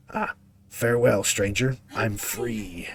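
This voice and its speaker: Putting on a character voice, a man sounds raspy and robotic at a medium pitch and a fairly slow pace. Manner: triumphant.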